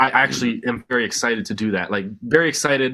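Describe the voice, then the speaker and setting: A man's bright, sharp tone at a fairly quick pace, in a very clean recording with a silent background. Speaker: band musician. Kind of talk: casual chat. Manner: halting, many fillers.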